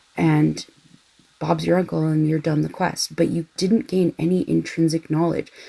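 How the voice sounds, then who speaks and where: A woman talks in a soft-spoken way. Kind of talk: casual rambling chat for background listening.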